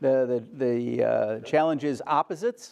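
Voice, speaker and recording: Loud and with very wide pitch swings, a man speaks. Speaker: photography lecturer. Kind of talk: lecture.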